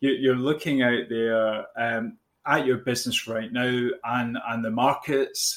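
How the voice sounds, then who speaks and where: Speaking in a Glaswegian accent, a man uses a medium pitch, a fairly slow pace and fairly even intonation. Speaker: business coach. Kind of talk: podcast conversation. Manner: hesitant, with fillers and repeats.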